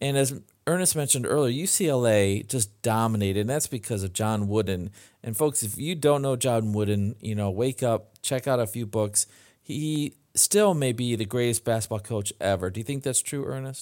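A man of medium pitch with a plain, everyday voice and ordinary pitch variation, at a moderate pace, on a very clean recording with a silent background. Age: 50s. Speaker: podcast host. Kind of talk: casual chat.

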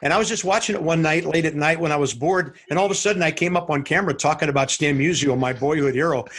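Speaking very fast with hardly any pauses, a man uses a fairly high pitch, ordinary pitch variation and very even loudness, with noticeable background noise behind him. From St. Louis, US Midwest. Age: 60s. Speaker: baseball TV play-by-play announcer. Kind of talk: casual interview.

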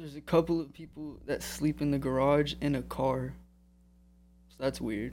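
A man talks at a moderate pace, leaving long, frequent pauses, with big swings in loudness. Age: 20s. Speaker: jiu-jitsu student. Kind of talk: interview.

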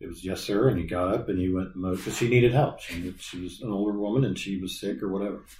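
A man with an American accent speaks at a very fast pace with hardly any pauses. His fairly low voice is somewhat breathy and swings widely in loudness. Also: ordinary pitch variation. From Colerain Township, Ohio (Cincinnati area), US Midwest. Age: 50s. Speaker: fire captain and department historian. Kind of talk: interview.

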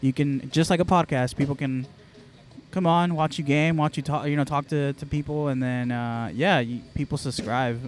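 A man's fairly high pitch at a moderate pace. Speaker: esports organization owner. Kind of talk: casual chat. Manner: animated.

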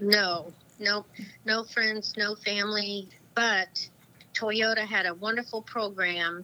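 Her intonation is monotone and flat as the woman speaks at a medium pitch. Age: 60s. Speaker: Paralympic fencer. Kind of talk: interview. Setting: phone call.

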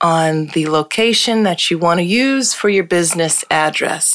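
In an American accent, a woman with a fairly low pitch and an ordinary speaking voice talks with very even loudness, ordinary pitch variation and hardly any pauses. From Hartford, Connecticut. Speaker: lawyer and law firm founder. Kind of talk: casual interview chat.

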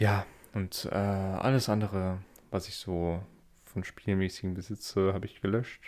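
In a monotone, flat voice, a man speaks at a fairly slow pace. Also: fairly low pitch for a man. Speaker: podcaster. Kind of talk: solo monologue. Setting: Discord voice chat, recording standing. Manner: halting. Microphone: good microphone.

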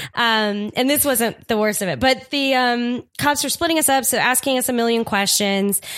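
Her voice is high, with hardly any pauses, ordinary pitch variation and very even loudness at a moderate pace. The woman has an American accent, and the recording is very clean with a silent background. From Staten Island, New York. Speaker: comedian and improviser. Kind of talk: casual storytelling chat.

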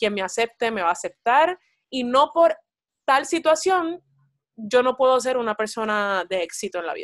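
In a plain, everyday voice, a woman speaks at a moderate pace with lively intonation, the sound dry and close with no echo against a quiet background. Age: 20s. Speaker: actress and psychology student. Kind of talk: casual interview chat. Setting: call.

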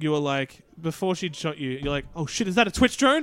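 Fairly high for a man, his voice has lively intonation. It is a plain, everyday voice. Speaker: podcast co-host. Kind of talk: casual banter. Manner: joking, swears a lot.

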